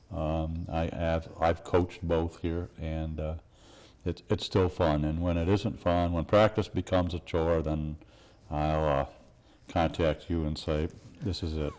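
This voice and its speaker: A man with a very deep, low voice speaks at a fairly slow pace in a monotone, flat intonation. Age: 70s. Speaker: college basketball coach. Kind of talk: TV interview. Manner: halting, many fillers.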